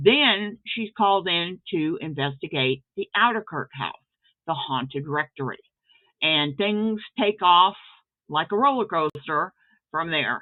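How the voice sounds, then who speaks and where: Speaking with an American accent at a fairly slow pace, a woman uses an ordinary speaking voice, fairly low in pitch, with lively intonation. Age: 60s. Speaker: author and writing teacher. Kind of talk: casual video intro talk.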